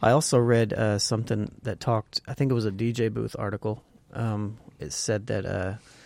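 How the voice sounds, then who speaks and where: A man with an American accent talks at a moderate pace in a normal speaking voice, pitched fairly low, with fairly even intonation. The recording is very clean, with a silent background. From US Midwest. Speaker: podcast co-host. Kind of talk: casual chat.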